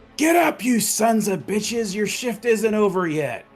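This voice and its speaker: Shouting in a raspy, fairly high-pitched put-on character voice, the speaker keeps a moderate pace as faint music plays in the background. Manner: shouting, commanding.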